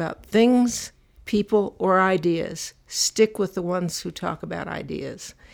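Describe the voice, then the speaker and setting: A woman talks at a medium pitch with ordinary pitch variation. Hers is an unremarkable speaking voice. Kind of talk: elder telling life story in an interview, recalling childhood and family history.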